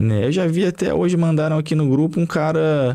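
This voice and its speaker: Someone with a Brazilian accent speaks at a moderate pace in a dark, mellow tone with ordinary pitch variation. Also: man. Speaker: gaming YouTuber. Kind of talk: angry rant, sweary political tirade about prices and taxes. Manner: heated, sarcastic, swearing, exasperated, repeating himself. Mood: exasperated, irreverent. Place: home room. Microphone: studio mic.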